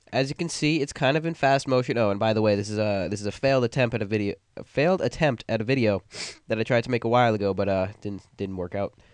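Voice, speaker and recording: Words pour out very fast, and the pitch varies in an ordinary way. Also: man. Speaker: video editing tutorial youtuber. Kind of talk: tutorial. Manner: halting, many fillers.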